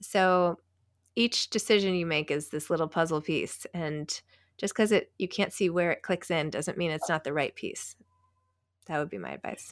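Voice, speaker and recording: In an American accent, a woman with an ordinary speaking voice talks at a fairly low pitch, with ordinary pitch variation and a moderate pace. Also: very clean recording, silent background. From New York City. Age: 40s. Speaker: author and podcast host. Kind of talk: interview.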